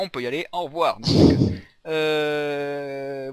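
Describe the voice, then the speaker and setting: Ordinary pitch variation in a man's fairly high-pitched voice. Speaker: gaming youtuber. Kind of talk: let's play commentary. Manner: fast; casual, halting.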